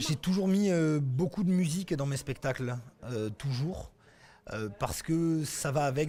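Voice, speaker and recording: Somewhat breathy, a man speaks with lively intonation in a dark, mellow tone. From Occitania, southern France. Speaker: storyteller. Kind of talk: interview answer.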